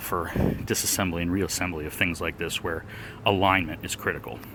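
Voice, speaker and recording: With noticeable background noise behind him, a man speaks fairly quickly, his pitch varying in an ordinary way. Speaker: amateur car DIYer. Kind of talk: DIY tutorial narration. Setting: outdoors. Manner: heavy breathing.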